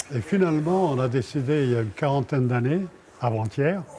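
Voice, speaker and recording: The man talks at a very slow pace. His pitch varies in an ordinary way. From France. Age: 90s. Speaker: martial arts master. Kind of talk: documentary interview.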